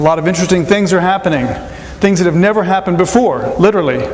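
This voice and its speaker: Very fast speech comes from a man with ordinary pitch variation. Audible room echo and noticeable background noise surround him. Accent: American. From United States. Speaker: economics professor. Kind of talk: lecture. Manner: halting, many fillers and repetitions.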